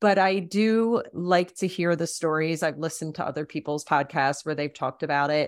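An unremarkable speaking voice from a woman with fairly low pitch, moving at a moderate pace with hardly any pauses and ordinary pitch variation, in a very clean recording with a silent background. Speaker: death doula podcast host. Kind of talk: interview conversation.

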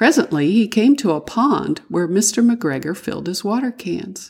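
Vocal fry runs through this woman's fairly high-pitched voice. She speaks fairly slowly with very wide pitch swings. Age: old. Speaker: storyteller for children. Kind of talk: reading aloud.

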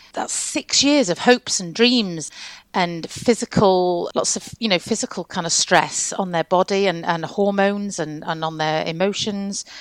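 This woman has a plain, everyday voice at medium pitch, with ordinary pitch variation and a moderate pace. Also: dry, close sound with no echo. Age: 50s. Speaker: midwife and lactation consultant. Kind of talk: interview conversation.

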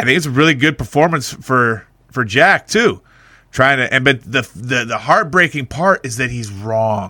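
Bright and sharp in tone, a man's voice carries lively intonation in a very clean recording with a silent background. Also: medium pitch for a man, moderate pace. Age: 40s. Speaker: podcast co-host. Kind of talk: casual chat.

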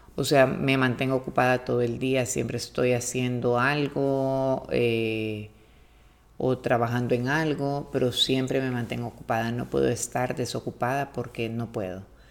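Soft-spoken and fairly slow, a woman with a Honduran accent speaks in a very deep, low pitch with flat, monotone intonation. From Honduras, Tegucigalpa. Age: 40s. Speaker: host's mother. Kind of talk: casual interview.

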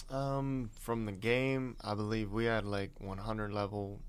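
With a plain, everyday voice, a man speaks at a fairly low pitch with fairly even intonation. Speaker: host's son, guest. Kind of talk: casual interview with father. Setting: studio.

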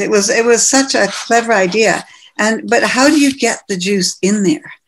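A woman with a Canadian accent and a plain, everyday voice, moderate pace and lively intonation. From western Canada (Manitoba, Calgary, Vancouver). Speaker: ophthalmologist, cosmetic medicine pioneer. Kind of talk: interview.

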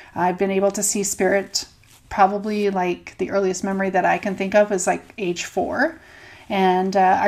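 At a moderate pace, a woman with a Canadian accent speaks at medium pitch. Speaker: podcast co-host, doula and energy healer. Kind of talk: personal storytelling. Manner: hesitant with fillers.

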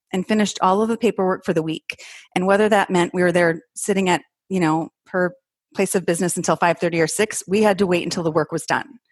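Very fast and fairly even in intonation, a woman with an American accent speaks at a medium pitch in a dry, close sound with no echo. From northern Minnesota. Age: 40s. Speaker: entrepreneur sharing her money story. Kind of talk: interview testimony.

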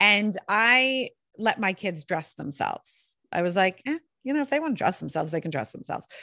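A woman's bright, sharp, animated voice at a fairly quick pace, with very wide pitch swings, dry and close with no echo, against a quiet background. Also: medium pitch for a woman. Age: 40s. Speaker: storyteller and podcast host. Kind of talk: casual interview. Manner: fast.

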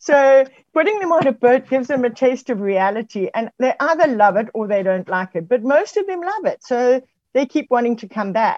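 Dry and close with no echo, a woman's high voice moves at a moderate pace. Her pitch swings very widely. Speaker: youth sailing program director. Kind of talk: interview.

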